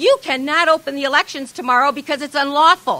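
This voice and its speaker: A woman with an American accent and a high-pitched voice projects loudly at a fairly quick pace. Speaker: activist. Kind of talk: speech at a protest rally. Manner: fast; animated.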